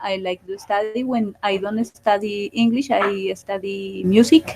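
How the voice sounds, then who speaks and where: Speech comes at a fairly slow pace. It is delivered with a Spanish accent. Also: woman. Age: 40s. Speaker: student. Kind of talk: oral exam. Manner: halting.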